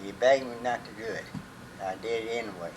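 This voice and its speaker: A man with an American accent at a moderate pace, amid noticeable background noise and audible room echo. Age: 80s+. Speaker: retired mill worker. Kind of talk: interview. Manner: halting.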